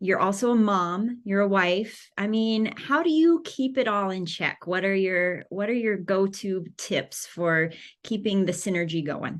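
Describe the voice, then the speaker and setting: With an unremarkable speaking voice, a woman at a medium pitch talks at a fairly slow pace with lively intonation. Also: hardly any pauses. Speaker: dentist, podcast co-host. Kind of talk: podcast interview questions.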